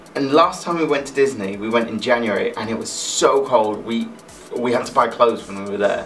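At a fairly quick pace and with ordinary pitch variation, the voice shows big swings in loudness over faint background music. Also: man. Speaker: vlogger. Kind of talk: casual vlog chat. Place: home room.

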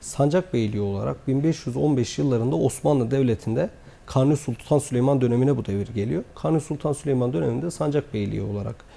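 In a dark, mellow tone, a man talks at a fairly quick pace. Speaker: guest. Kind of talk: interview answer. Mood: calm, formal, explanatory. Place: studio. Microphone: lapel.

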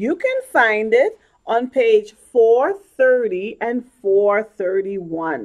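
A woman's fairly high, gentle voice with very wide pitch swings, against a quiet background. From Bahamas (Nassau); Bahamas. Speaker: children's ministry leader. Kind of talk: children's sermon. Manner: gentle, storytelling to children.

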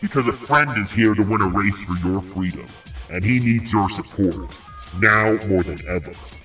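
Clear music plays in the background. Over it, a man uses a put-on character voice with a fairly low pitch. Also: moderate pace. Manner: calm, thinking ahead.

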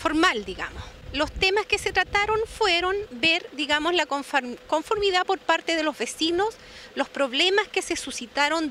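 A woman projects a raised voice with lively intonation, the sound dry with no echo over light background noise. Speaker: official reporting on public works. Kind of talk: interview answer. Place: street. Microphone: handheld.

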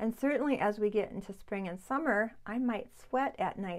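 A woman's medium pitch with ordinary pitch variation and a slightly mellow tone

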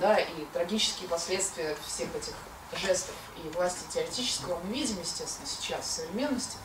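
A woman at a medium pitch, with ordinary pitch variation, a moderate pace and noticeable background noise. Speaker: philosopher, seminar co-leader. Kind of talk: philosophical seminar talk. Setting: lecture room with audience and microphone.

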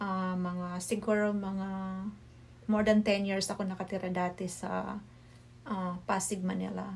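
A somewhat breathy woman with a Visayan accent, in monotone, flat intonation at a fairly slow pace. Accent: Visayan accent in Tagalog. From Bohol, Philippines (Visayas); Philippines. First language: Cebuano (Bisaya) (speaking Tagalog). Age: 40s. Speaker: cooking vlogger. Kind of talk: vlog introduction to camera. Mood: warm, slightly shy. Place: home room. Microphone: phone near.

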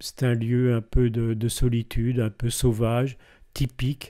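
Dark, mellow tone in a man's voice of medium pitch. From eastern France (Belfort). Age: 70s. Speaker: deacon. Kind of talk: testimony. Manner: hesitant, with frequent fillers.

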